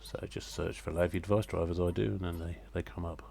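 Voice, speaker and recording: Very fast and very deep, a man's low-pitched voice has a dark, mellow tone and vocal fry. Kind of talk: software tutorial screencast narration. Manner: casual, hesitant with fillers.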